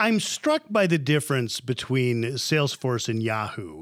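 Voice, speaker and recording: This man has an ordinary speaking voice at a medium pitch. He talks at a fairly slow pace. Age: 50s. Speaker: TV interviewer. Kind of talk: scripted outro; interview.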